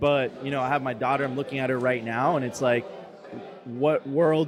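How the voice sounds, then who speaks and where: Against noticeable background noise, a man with an American accent speaks at a medium pitch with fairly even intonation. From US, Miami. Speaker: media company founder and host. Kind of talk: casual interview chat.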